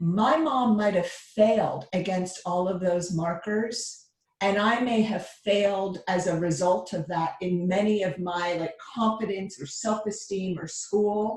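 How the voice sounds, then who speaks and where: A woman with an unremarkable speaking voice talks at a fairly slow pace with hardly any pauses, at medium pitch with ordinary pitch variation. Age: 50s. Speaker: therapist. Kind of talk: casual chat.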